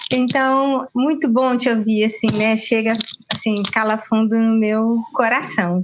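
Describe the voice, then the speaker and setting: Very slowly and at very even loudness, a woman with a fairly high pitch talks in fairly even intonation. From Cataguases, Minas Gerais, Brazil. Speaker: event participant asking questions. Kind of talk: interview in a live stream. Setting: live online stream. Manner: halting, many fillers.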